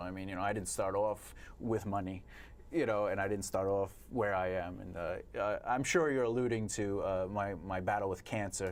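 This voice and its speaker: Talking at a fairly quick pace, a man has a fairly low pitch and ordinary pitch variation. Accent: Long Island. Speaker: poet and author. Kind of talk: casual chat. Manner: halting.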